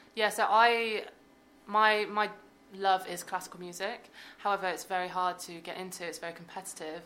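At a moderate pace, a woman with a medium pitch speaks in a bright, sharp tone and a monotone, flat intonation, her loudness swinging widely. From Devon, England. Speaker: violist and musician. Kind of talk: interview. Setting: studio.

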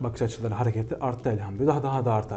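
A man keeps his intonation fairly even at a medium pitch. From Kahramanmaraş, Turkey. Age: 20s. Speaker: music conservatory researcher. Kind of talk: interview. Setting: studio. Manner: hesitant with frequent fillers.

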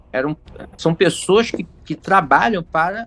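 This man speaks with a high pitch. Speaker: YouTuber, gamebook expert. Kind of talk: casual chat.

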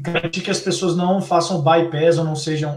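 Speaking at a moderate pace, a man uses a high-pitched voice with monotone, flat intonation. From Belo Horizonte, Brazil. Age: young. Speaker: technology executive. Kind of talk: online talk on digital transformation.

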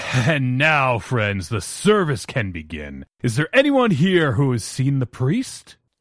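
Using a put-on character voice, a man speaks at a fairly slow pace with a medium pitch and very wide pitch swings. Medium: read story.

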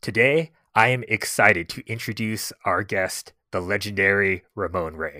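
A man speaks at a fairly slow pace in a bright, sharp tone with ordinary pitch variation. The sound is dry and close, with no echo. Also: fairly low pitch for a man, very clean recording, silent background. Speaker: podcast host. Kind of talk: interview.

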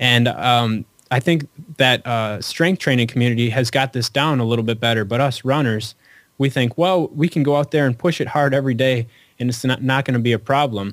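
It is an ordinary speaking voice with ordinary pitch variation and very even loudness, delivered at a fairly quick pace. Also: man, medium pitch for a man. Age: 30s. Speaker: running author. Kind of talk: casual interview. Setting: phone call.

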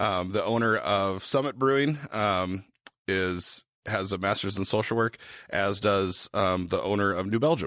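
A man's fairly low voice at a fairly slow pace, with ordinary pitch variation and very even loudness, in a very clean recording with a silent background. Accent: Upper Midwest. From Minnesota, Twin Cities. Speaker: brewery founder. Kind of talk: casual interview.

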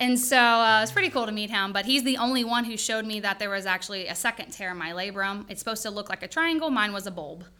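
Speaking in a Louisiana accent, a woman talks very fast with hardly any pauses in a bright, sharp, fairly high voice with ordinary pitch variation. The recording is very clean, with a silent background. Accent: Louisiana Southern. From Louisiana, Denham Springs. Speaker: chiropractor. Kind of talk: casual chat.

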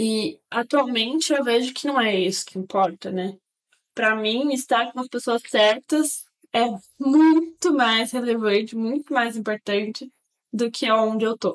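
A woman speaks at a fairly slow pace in a fairly high voice with ordinary pitch variation. The sound is dry and close, with no echo. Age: 20s. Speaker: engineer. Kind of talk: casual chat.

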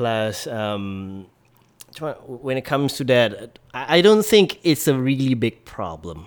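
In a Malaysian accent, a man at a medium pitch talks at a very slow pace with very wide pitch swings. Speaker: social media personality. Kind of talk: casual chat. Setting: host's home.

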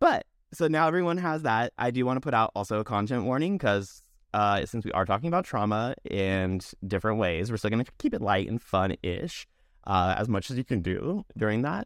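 A man with an American accent talks at a fairly quick pace, with medium pitch and lively intonation in an unremarkable speaking voice. The sound is dry and close, with no echo. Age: 30s. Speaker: podcast host. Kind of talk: casual chat. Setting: video call.

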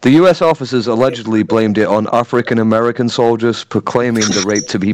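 The reading voice sounds natural. Intonation holds fairly even throughout.

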